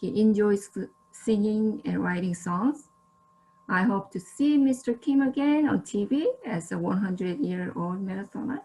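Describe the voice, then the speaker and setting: Speaking at a fairly slow pace, a woman with a Korean accent has a fairly high pitch and lively intonation. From South Korea. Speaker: social service student, guest presenter. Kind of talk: presentation. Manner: slightly halting with fillers.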